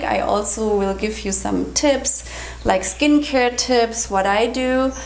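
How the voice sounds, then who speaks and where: Speaking with a non-native accent, a woman has a fairly high pitch and ordinary pitch variation, with audible room echo and noticeable background noise around her. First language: German. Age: 40s. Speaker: health and raw food vlogger. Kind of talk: casual vlog tutorial. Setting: kitchen counter.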